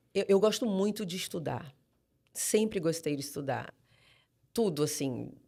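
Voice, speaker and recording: A strong Manaus accent with long, frequent pauses. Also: fairly slow pace, very clean recording, silent background. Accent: strong Manaus accent; drops final R. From Brazil, Manaus (Amazonas). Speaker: pastor. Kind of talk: podcast interview.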